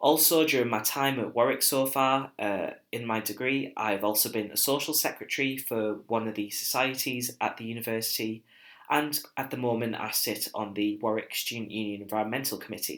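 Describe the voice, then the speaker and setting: A man with a northern English accent, medium pitch, fairly even intonation and a fairly quick pace. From northeast England. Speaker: university student. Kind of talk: recorded presentation. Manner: hesitant, with filler words.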